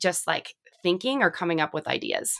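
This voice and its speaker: With an American accent, a woman speaks in a plain, everyday voice at a moderate pace and a fairly low pitch, on a very clean recording with a silent background. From Southern California. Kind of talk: interview conversation.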